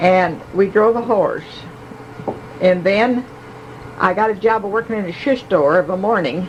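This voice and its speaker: Over noticeable background noise, a woman speaks at a medium pitch and moderate pace with ordinary pitch variation and long, frequent pauses. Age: 80s+. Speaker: family elder sharing memories. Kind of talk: oral history reminiscence. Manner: halting, with fillers.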